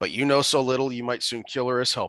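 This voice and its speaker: A man puts on a stern character voice at medium pitch, flat and monotone. He talks very fast against a quiet background. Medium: solo performance. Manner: curt, stern.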